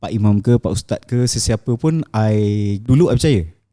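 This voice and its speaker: Recorded dry and close with no echo, a man speaks at a fairly slow pace in a dark, mellow tone. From Malaysia, Shah Alam. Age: 30s. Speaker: event manager and property investor. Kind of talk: interview testimony. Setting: studio.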